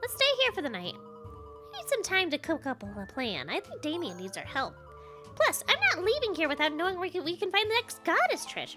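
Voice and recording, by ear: Over faint music, a woman in a put-on character voice speaks at a moderate pace with an extremely high pitch, very wide pitch swings, and a bright, sharp tone.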